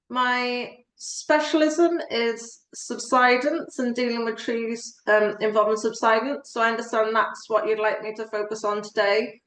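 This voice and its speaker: A woman's fairly slow, nearly unbroken speech with fairly even intonation and a slight Welsh accent. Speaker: tree law solicitor. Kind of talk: presentation.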